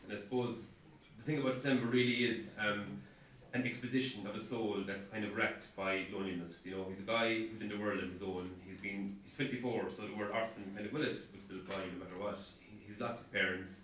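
Audible room echo and light background noise surround a man talking at a fairly quick pace in a fairly low pitch. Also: ordinary pitch variation. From Ireland. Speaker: author. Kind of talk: author introducing his novel before reading. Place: hall. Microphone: camera far.

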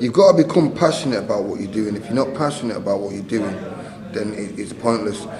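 Noticeable background noise and audible room echo surround this man's voice. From northern England, Manchester. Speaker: retired boxer and boxing trainer. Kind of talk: interview.

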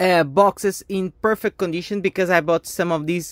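In a plain, everyday voice, a woman speaks at a moderate pace with a fairly low pitch and fairly even intonation. The sound is dry with no echo, over a quiet background. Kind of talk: casual unboxing commentary. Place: home room. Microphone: phone near.

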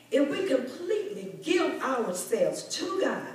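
A woman speaking at a very slow pace with very wide pitch swings, light background noise and audible room echo. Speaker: speaker. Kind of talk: sermon. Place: church.

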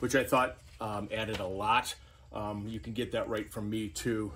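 This man's voice sits fairly low and is somewhat breathy, with fairly even intonation and a moderate pace. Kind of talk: casual vlog chat. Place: garage. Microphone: phone near.

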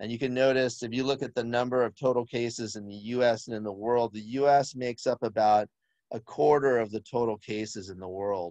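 Against a quiet background, a man's dark, mellow voice moves at a fairly quick pace with fairly even intonation, in a dry sound with no echo. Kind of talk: presentation commentary on slides. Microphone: video call.

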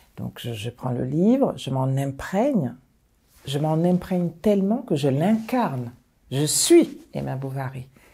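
At a very slow pace, a woman speaks with a very deep, low pitch, a dark, mellow tone and a somewhat breathy quality, her pitch swinging very widely. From Mali, then Paris suburbs from age 7. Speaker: high school principal; school head teacher recounting career. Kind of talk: personal testimony. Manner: hesitant, many filler pauses. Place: home room. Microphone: lapel.

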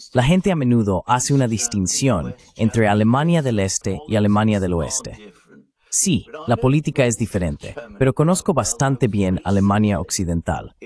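A man with a normal speaking voice, medium pitch and lively intonation talks at a moderate pace in a dry, close sound with no echo. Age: 60s. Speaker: political commentator. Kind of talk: interview.

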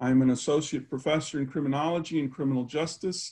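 Over a quiet background, a man speaks very fast in a fairly high pitch with fairly even intonation. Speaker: university professor, event host. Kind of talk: formal introduction. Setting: video call. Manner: formal. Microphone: webcam.

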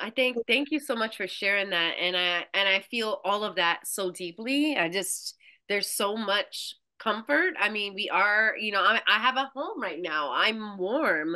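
Against a quiet background, a woman speaks at a fairly slow pace. Her tone is bright and sharp, and her intonation is lively. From Brooklyn, New York; New York. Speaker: farmer and somatic practitioner. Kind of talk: casual interview conversation. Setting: video call. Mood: heartfelt, grateful. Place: home room. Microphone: video call.

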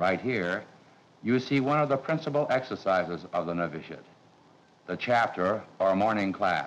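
At a moderate pace, a man with an unremarkable speaking voice and a fairly low pitch talks with lively intonation. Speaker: priest, master of novices. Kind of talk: formal explanation in a documentary. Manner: formal.

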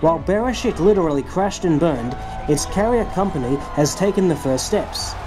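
The speaker sounds enthusiastic and talks at a fairly quick pace, with noticeable background noise. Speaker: YouTube space commentator. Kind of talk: video commentary narration.

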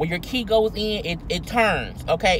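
A woman speaks at a fairly slow pace with ordinary pitch variation, in a dry sound with no echo over light background noise. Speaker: vlogger. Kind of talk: casual vlog commentary on a news story. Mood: indignant, incredulous. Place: car. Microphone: phone near.

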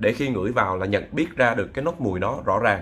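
Bright and sharp in tone, a man talks at a medium pitch and a fairly quick pace. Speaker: perfume reviewer and bar singer. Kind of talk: product review. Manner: casual, halting with fillers.

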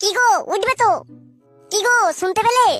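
A cartoonish character voice, female-sounding and extremely high-pitched, runs at a fairly quick pace. Faint music plays in the background. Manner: nagging, urgent.

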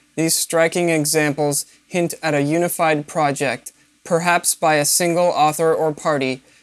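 A woman speaks in a very deep, low voice with monotone, flat intonation. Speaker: video narrator. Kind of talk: scripted narration.

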